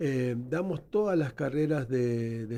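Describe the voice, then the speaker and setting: The speaker has a Buenos Aires accent and ordinary pitch variation. Background noise is noticeable. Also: man. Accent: Rioplatense Spanish (Buenos Aires). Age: 60s. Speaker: nurse and educator, founder of a health training institute. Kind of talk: radio interview.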